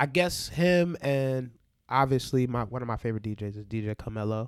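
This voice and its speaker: A man's normal speaking voice, fairly slow in pace, with lively intonation. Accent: American. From New York, Barbadian family. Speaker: DJ. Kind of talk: casual chat.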